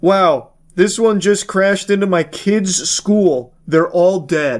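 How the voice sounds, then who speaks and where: A man puts on a high-pitched character voice, moving at a fairly slow pace. His loudness stays very even, and his pitch varies in an ordinary way. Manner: deadpan, super calm.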